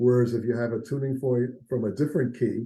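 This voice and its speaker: The man has a medium pitch and a dark, mellow tone that is somewhat breathy. He talks at a fairly quick pace with monotone, flat intonation. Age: 70s. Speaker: integrative health practitioner. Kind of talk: interview.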